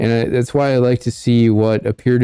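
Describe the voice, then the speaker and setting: A man with a dark, mellow tone talks at a moderate pace. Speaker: political livestream host. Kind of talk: livestream commentary reading viewer comments. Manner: monotone.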